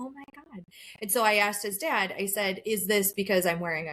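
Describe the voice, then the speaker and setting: With a plain, everyday voice, a woman keeps to a moderate pace. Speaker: podcast co-host. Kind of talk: casual chat.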